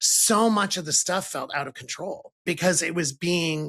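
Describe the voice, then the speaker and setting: With an American accent, a man speaks at a fairly high pitch in a bright, sharp tone with vocal fry and ordinary pitch variation. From Ohio. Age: 60s. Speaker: podcast host. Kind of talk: interview conversation.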